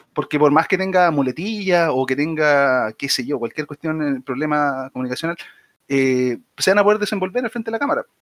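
The sound is dry and close with no echo as a man with a Chilean accent speaks in a fairly high pitch with lively intonation. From Chile, Viña del Mar. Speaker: podcast co-host. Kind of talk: casual chat. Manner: halting, many repetitions.

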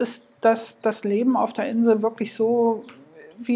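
Her voice is fairly high, with a dark, mellow tone. The woman talks at a fairly slow pace in a monotone, flat delivery. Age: 40s. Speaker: podcast host. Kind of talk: solo podcast monologue.

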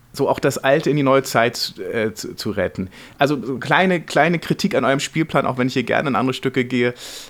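This man's pitch is fairly high and varies in an ordinary way. He talks at a fairly quick pace. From northern Germany, near Hamburg. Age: 40s. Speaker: screenwriter and playwright. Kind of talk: interview. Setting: theatre upholstery workshop. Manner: halting, many repetitions and fillers.

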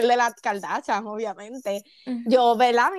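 Her voice sits high for a woman, and she talks at a moderate pace. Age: 20s. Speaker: young mother. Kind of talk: casual chat.

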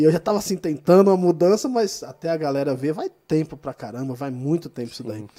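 The speech runs very fast with hardly any pauses, lively intonation, a dark, mellow tone and big swings in loudness. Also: man, fairly high pitch for a man. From São Paulo, Brazil (childhood in Minas Gerais). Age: 40s. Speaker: pastor. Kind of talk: casual interview. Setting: studio.

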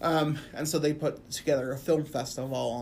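In a Midwestern US accent, a woman with a very deep, low pitch speaks at a fairly quick pace with ordinary pitch variation, and room echo is audible. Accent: US Midwest. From Quad Cities, Illinois side. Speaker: academic advisor. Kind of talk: casual interview.

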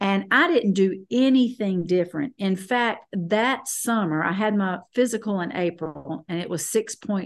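A woman with a Southern US accent, lively intonation, a moderate pace and hardly any pauses, over a quiet background. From US South, North Carolina. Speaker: guest sharing health testimony. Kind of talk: testimony. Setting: video call.

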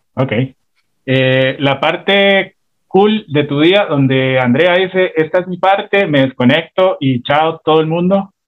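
A man's fairly high pitch with ordinary variation, at a very slow pace. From Costa Rica, San José south barrio. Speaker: radio host and comedian. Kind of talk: casual interview.

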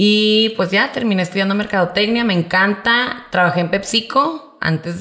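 A woman with a northern Mexican accent, moderate pace and ordinary pitch variation, over noticeable background noise. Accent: northern Mexican (Monterrey) Spanish. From Monterrey, northern Mexico. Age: 30s. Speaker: entrepreneur, party supplies shop owner. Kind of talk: interview conversation.

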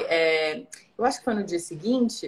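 A woman speaks with lively intonation. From Brazil, São Luís (Maranhão). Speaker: traveller sharing trip experience. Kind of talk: casual interview chat. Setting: online live video call.

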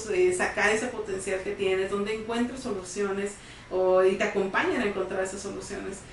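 Over noticeable background noise and audible room echo, a woman speaks at a fairly quick pace with ordinary pitch variation. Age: 30s. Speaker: psychologist co-host. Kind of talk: casual interview chat. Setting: studio.

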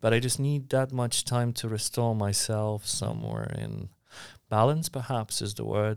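On a very clean recording with a silent background, a man with a Polish accent speaks at a moderate pace. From Poland, Warsaw. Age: 30s. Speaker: mentor. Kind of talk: casual chat. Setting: co-working space.

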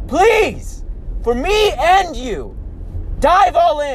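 An animated man against noticeable background noise. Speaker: motivational podcast host. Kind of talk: motivational monologue. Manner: animated, emphatic.

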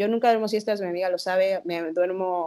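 A woman speaks with a Mexican accent at a medium pitch. She goes at a fairly quick pace with ordinary pitch variation. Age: 20s. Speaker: podcast co-host. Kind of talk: casual chat.

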